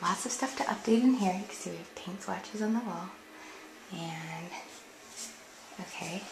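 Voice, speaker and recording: Quiet and medium-pitched, a woman talks at a moderate pace with ordinary pitch variation amid noticeable background noise and audible room echo. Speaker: home decor blogger. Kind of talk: house tour narration. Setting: indoors at home.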